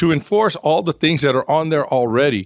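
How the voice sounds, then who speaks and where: In an American accent, a man uses an ordinary speaking voice, fairly high in pitch and fairly quick, in a very clean recording with a silent background and a dry, close sound with no echo. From San Antonio, Texas. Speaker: state legislator and retired firefighter. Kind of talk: panel discussion on local politics.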